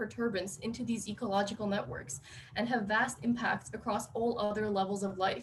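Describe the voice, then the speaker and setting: A woman speaks at a fairly quick pace with an American accent. Her pitch is fairly high, with ordinary pitch variation. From Texas. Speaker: PhD student. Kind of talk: speech. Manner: fast; reading verbatim.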